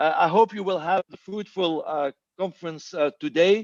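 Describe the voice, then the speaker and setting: A moderate pace with ordinary pitch variation, in a dry, close sound with no echo. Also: man. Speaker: government minister. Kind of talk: conference speech. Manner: halting, many filler sounds.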